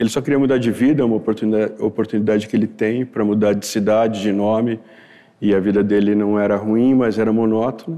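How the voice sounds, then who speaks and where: A man speaks at a very fast pace with very even loudness, fairly even intonation and a dark, mellow tone. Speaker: writer. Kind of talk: interview. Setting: studio with audience.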